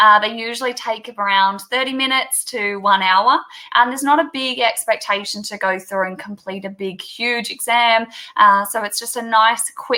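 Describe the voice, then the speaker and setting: Speaking in an Australian accent, a woman talks at a moderate pace with a fairly high pitch, ordinary pitch variation, a bright, sharp tone and big swings in loudness. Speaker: teacher. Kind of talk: video call interview.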